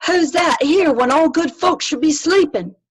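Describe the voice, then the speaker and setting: Using a put-on character voice at an extremely high pitch, a woman speaks at a moderate pace with very even loudness. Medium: read story.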